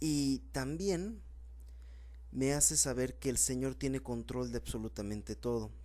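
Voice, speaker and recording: Room echo can be heard around the voice. A man is talking fairly slowly. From Mexico, Puebla. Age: 20s. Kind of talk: sermon.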